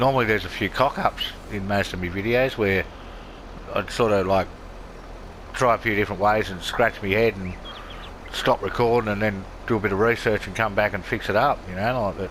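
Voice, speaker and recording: A fairly low-pitched man with an Australian accent, fairly quick pace but long, frequent pauses, amid noticeable background noise. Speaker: gaming video creator. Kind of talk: casual gameplay commentary.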